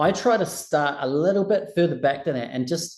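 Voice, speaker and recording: Lively in intonation, a man with a plain, everyday voice speaks at a moderate pace. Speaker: recruitment trainer. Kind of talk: online training session.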